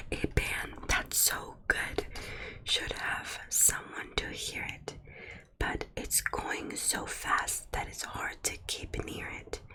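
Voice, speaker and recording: A woman whispers in a calm tone at a very slow pace over noticeable background noise. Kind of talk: ASMR roleplay storybook reading to help sleep. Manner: calm, soft-spoken.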